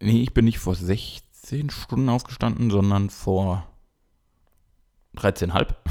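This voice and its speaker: A man with a dark, mellow tone at a very slow pace, with long, frequent pauses, in a very clean recording with a silent background. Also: fairly low pitch for a man, ordinary pitch variation. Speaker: podcast co-host. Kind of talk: casual chat.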